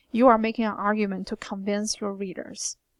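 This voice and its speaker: A woman with a Chinese accent speaks at a fairly high pitch. The recording is very clean, with a silent background and a dry, close sound with no echo. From China. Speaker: writing instructor. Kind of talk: recorded lecture. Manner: hesitant, many fillers.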